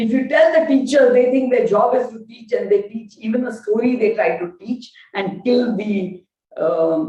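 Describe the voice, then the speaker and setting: A woman with a Gujarati accent speaks in a high pitch with a dark, mellow tone, lively intonation and big swings in loudness. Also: moderate pace. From India, Gujarat. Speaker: lecturer on Indian knowledge systems. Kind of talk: lecture. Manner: halting, many fillers.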